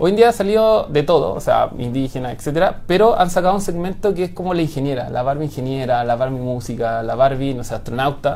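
In a Chilean accent, a man with a fairly high pitch speaks at a very fast pace with hardly any pauses. His intonation is lively, with noticeable background noise behind him. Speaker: software engineer. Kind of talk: interview.

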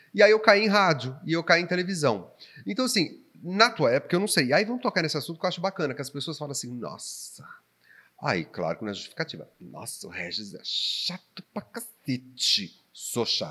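A man talks at a fairly quick pace in a high pitch, with very wide pitch swings. His tone is bright and sharp. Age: 40s. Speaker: podcast host and local TV presenter. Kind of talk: casual chat.

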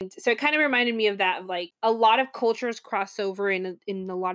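A woman's medium-pitched voice with ordinary pitch variation, on a very clean recording with a silent background. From US South (Florida). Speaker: podcast co-host. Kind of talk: casual chat.

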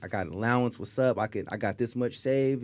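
A man with an American accent talks at a very fast pace in a medium pitch with a dark, mellow tone. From Stockton, California. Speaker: music producer. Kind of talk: casual chat. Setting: studio.

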